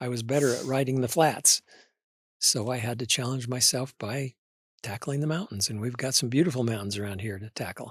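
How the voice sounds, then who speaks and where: A man with an American accent speaks at a medium pitch with ordinary pitch variation and a somewhat breathy quality. The pace is fairly quick, and the very clean recording has a silent background and a dry, close sound with no echo. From southern Idaho, US. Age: old. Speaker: retired broadcaster and author. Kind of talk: interview conversation.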